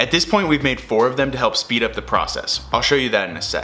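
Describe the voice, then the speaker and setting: Music plays behind a man as he talks. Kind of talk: tutorial. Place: garage.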